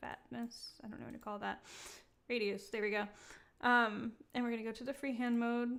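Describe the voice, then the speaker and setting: A woman's fairly high, monotone voice with flat intonation, a fairly quick pace, and long, frequent pauses. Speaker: 3D software livestream presenter. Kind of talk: live tutorial. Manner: halting, stuttering; casual, frequent fillers.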